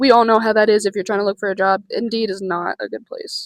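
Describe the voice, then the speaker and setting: Dry, close sound with no echo carries a woman's voice. She is fairly high-pitched and speaks at a moderate pace. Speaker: vlogger. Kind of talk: casual vlog. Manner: halting.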